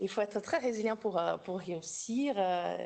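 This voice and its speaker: A woman with a slight Brazilian accent speaks fairly slowly at medium pitch, with vocal fry and lively intonation. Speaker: doctoral researcher in psychology, workshop co-organizer. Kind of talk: academic workshop discussion. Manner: halting, many repetitions.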